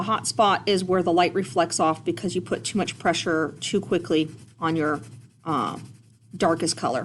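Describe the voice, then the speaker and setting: A woman speaks at a moderate pace in an ordinary speaking voice, her fairly low pitch moving with ordinary variation over a quiet background. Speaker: art teacher. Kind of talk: tutorial. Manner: casual.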